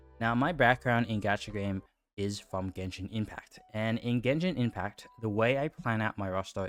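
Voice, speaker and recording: Music plays behind a man who talks at a moderate pace with a medium pitch and ordinary pitch variation. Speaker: gaming content creator. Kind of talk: casual commentary to camera. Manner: sometimes halting, stuttering.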